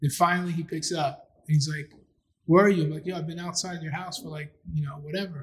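A man with a New York accent, fairly high-pitched, talking at a very fast pace with fairly even intonation. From Queens, New York (Astoria). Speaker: filmmaker and writer. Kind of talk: casual interview chat.

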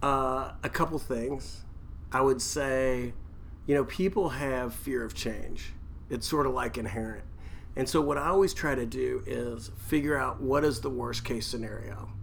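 A man talks at a fairly slow pace, his voice carrying audible room echo amid noticeable background noise. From Kentucky. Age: 50s. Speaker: real estate developer. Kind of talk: casual interview.

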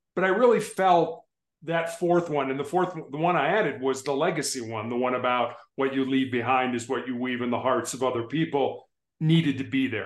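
With an American accent and a normal speaking voice, a man talks at a fairly quick pace, his pitch fairly high and his pitch variation ordinary. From Chicago, US Midwest. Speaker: motivational speaker and author. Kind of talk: casual interview chat. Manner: warm, storytelling, conversational.

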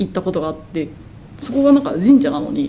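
Over noticeable background noise, a woman talks at a very fast pace with very wide pitch swings. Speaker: media artist. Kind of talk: casual chat. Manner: stuttering, halting.

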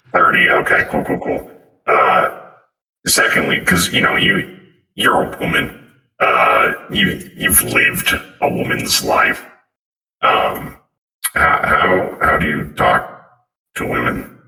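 In a put-on character voice, a raspy man speaks very slowly with long, frequent pauses and a slight echo. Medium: actual play. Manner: blunt, casual.

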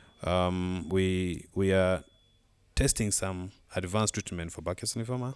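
A man's very deep, low pitch at a fairly slow pace. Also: very clean recording, silent background. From Uganda. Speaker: pediatric oncologist. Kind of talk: interview. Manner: halting.

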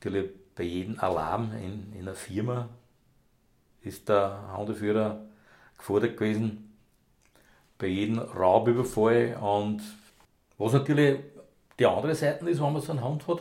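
Using long, frequent pauses, a man of fairly low pitch speaks at a moderate pace with ordinary pitch variation. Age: 60s. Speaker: retired police dog handler. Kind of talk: casual interview. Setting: home kitchen.

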